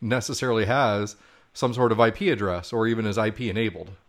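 A man talks in a normal speaking voice. His pace is fairly quick. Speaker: podcast co-host. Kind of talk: casual interview chat. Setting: remote call. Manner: jokey.

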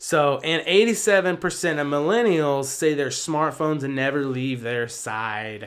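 A plain, everyday voice with lively intonation at a fairly slow pace, on a very clean recording with a silent background. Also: man, fairly high pitch for a man, hardly any pauses. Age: 20s. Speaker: podcast co-host. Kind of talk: casual chat.

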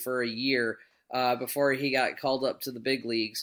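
A man speaks loudly. The recording is very clean, with a silent background. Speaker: podcast host. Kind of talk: casual chat. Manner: loud talker.

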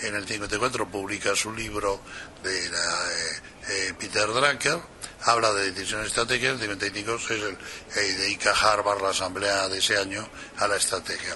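With noticeable background noise behind him, a man speaks in a fairly low pitch with fairly even intonation. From Spain. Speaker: communication strategy expert. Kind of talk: interview.

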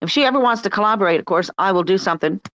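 Words come from a woman at a very fast pace. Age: old. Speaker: artist, former English teacher. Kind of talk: casual chat. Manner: rambling.

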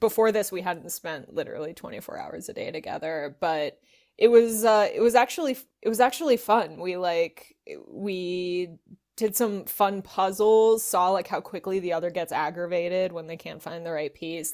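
In a very clean recording with a silent background, a woman with an American accent uses an unremarkable speaking voice at medium pitch and a moderate pace, with ordinary pitch variation and big swings in loudness. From Los Angeles. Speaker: voice actor and comedian. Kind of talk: casual interview.

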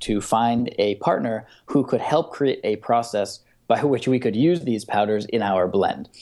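A man at medium pitch with ordinary pitch variation, a normal speaking voice, at a moderate pace. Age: young. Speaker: entrepreneur, beverage company founder. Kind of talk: interview.

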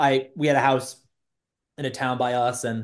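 Speaking with an American accent, a man keeps a medium pitch and fairly even intonation. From Massachusetts, Bedford/Lexington/Concord area. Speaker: real estate team executive. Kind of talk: casual interview.

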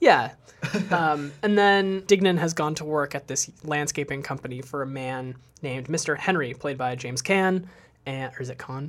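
At a moderate tempo and with ordinary pitch variation, a man talks in a normal speaking voice that sits fairly high in pitch. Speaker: movie podcast host. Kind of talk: casual chat.

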